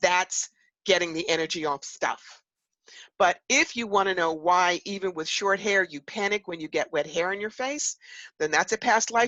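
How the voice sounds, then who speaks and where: Speaking in an animated tone with a New York accent, a woman uses lively intonation at a medium pitch. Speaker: psychic medium and author. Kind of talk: interview.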